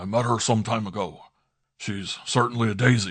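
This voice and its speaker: In a raspy, put-on character voice, a man speaks at a medium pitch with fairly even intonation. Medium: read story. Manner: dry, wry, unhurried.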